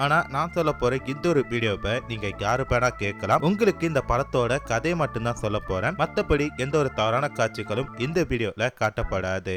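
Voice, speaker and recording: With music in the background, a man of medium pitch talks with lively intonation. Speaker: movie explainer, Tamil voice-over narrator. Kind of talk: movie story narration / explainer.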